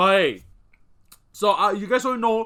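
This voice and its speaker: A man's raised, projected voice has a bright, sharp tone and races at a very fast pace. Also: very clean recording, silent background. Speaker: YouTube reactor. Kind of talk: casual reaction commentary. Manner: halting, many fillers.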